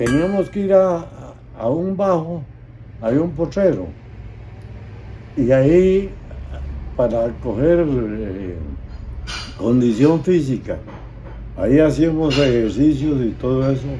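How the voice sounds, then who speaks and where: Speaking very slowly with long, frequent pauses, a man with a fairly high pitch uses lively intonation in a space with audible room echo. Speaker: war veteran. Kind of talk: testimony. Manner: halting.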